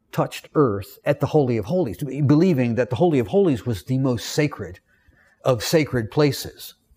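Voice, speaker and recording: A man with a Southern US accent speaks at medium pitch in a somewhat breathy, dark and mellow tone. His intonation is lively, and the recording is very clean with a silent background. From US South. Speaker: Bible teacher. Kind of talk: lecture. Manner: halting, frequent repetitions.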